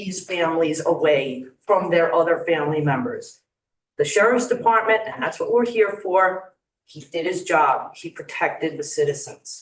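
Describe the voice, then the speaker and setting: Speaking in a Long Island accent, a woman keeps a medium pitch and a moderate pace. Her intonation is lively, with big swings in loudness. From Long Island, New York. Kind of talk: public comment speech. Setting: county legislature meeting room.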